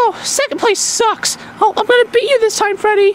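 A female-sounding voice does a put-on character at an extremely high pitch and a moderate pace. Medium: machinima. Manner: eager, excitable, easily frustrated.

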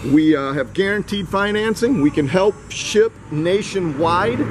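Noticeable background noise can be heard behind the man as he talks. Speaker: dealership salesperson. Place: street. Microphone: phone near.

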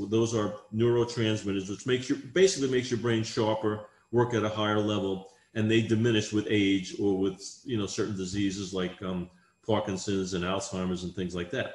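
A man speaks at a fairly quick pace, somewhat breathy, with fairly even intonation. Room echo can be heard. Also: fairly low pitch for a man. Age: 60s. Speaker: exercise scientist; guest. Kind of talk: interview answer. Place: home room. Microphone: video call.

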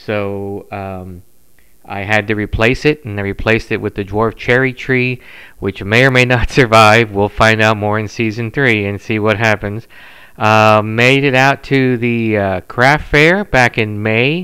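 With a bright, sharp tone and fairly even intonation, the voice moves at a fairly slow pace over a quiet background. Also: man, fairly low pitch for a man. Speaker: podcast host. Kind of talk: casual podcast chat. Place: home room. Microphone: studio mic.

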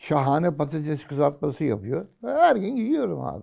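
On a very clean recording with a silent background, a man with a fairly high pitch, vocal fry and a dark, mellow tone speaks at a moderate pace with very wide pitch swings. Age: 80s+. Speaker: retiree commentator. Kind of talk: casual chat. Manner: animated.

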